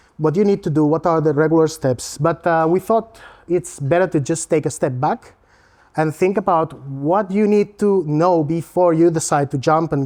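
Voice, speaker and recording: A man with a Spanish accent talks at a moderate pace with very even loudness. His fairly high pitch has ordinary pitch variation and a dark, mellow tone. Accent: non-Latvian accent, Spanish. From Spain. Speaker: learning technology consultant. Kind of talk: presentation. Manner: casual, with fillers and self-corrections.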